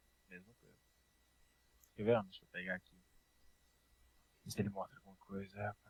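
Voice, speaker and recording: A man talks at a fairly quick pace in a fairly low pitch, with long, frequent pauses and big swings in loudness. His intonation is monotone and flat, and the sound is dry and close with no echo. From Brazil, Brasília. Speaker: programming teacher. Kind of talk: online class. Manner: casual.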